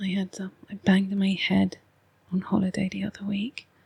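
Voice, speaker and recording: A woman's medium-pitched, somewhat breathy voice with a dark, mellow tone, in a dry, close sound with no echo. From England. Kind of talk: ASMR oracle card reading. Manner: soft-spoken, slow.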